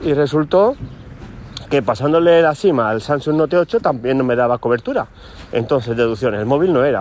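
Against noticeable background noise, a man speaks with lively intonation at a fairly high pitch. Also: moderate pace. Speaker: teacher and podcaster. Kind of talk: casual solo vlog monologue. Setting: walking outdoors in a city. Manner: hesitant, with fillers.

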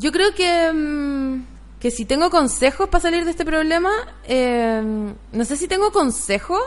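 With very wide pitch swings and a high pitch, a woman talks at a fairly slow pace. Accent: Chilean. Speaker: comedian and podcast host. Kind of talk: casual chat.

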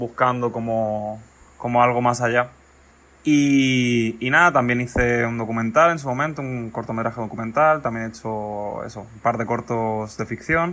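The man's tone is bright and sharp. He keeps a moderate pace and fairly even intonation. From Mallorca, Spain. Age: 20s. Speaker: film student and screenwriter. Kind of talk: recorded voice message. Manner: halting.

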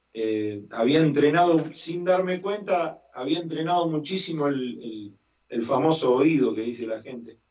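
Speaking at a fairly slow pace, a man with a fairly high voice uses lively intonation and big swings in loudness. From Argentina, Santa Fe province. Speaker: musician and choir director. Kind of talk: interview. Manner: hesitant, many fillers.

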